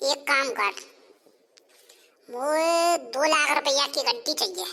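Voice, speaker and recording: A cartoonish character voice speaks at a high pitch and a moderate pace. The recording is very clean, with a silent background. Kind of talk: cartoon comedy dialogue.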